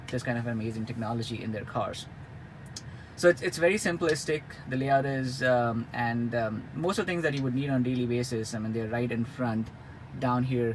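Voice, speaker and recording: Against noticeable background noise, a man talks at a moderate pace with a medium pitch and ordinary pitch variation. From India. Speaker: car reviewer. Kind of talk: product review. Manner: hesitant with many fillers and repetitions.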